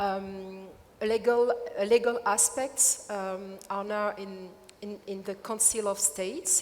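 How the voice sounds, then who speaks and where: A woman with a French accent at a fairly slow pace, against noticeable background noise. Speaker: activist. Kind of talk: panel discussion. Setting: stage with audience. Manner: halting.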